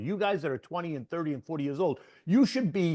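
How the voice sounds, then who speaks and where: An animated man speaks with an American accent, his high pitch carried by lively intonation. The sound is dry and close with no echo, over a quiet background. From US Northeast, Boston. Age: 60s. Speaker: market strategist. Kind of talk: interview.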